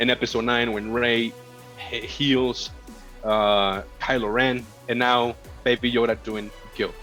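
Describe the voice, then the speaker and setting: With music in the background, a man with a Spanish accent speaks in a flat monotone at a medium pitch. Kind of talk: casual podcast conversation.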